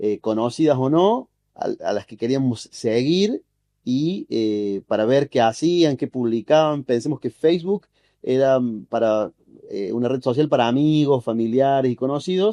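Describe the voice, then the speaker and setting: Lively intonation runs through a man's voice with a dark, mellow tone. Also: medium pitch for a man, fairly slow pace, dry, close sound with no echo. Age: 30s. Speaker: journalist and social media specialist. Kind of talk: podcast interview.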